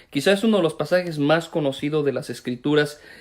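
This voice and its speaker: A man's voice, fairly high in pitch with ordinary pitch variation, moves at a fairly quick pace. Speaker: pastor. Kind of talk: sermon. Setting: online live stream. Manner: fast.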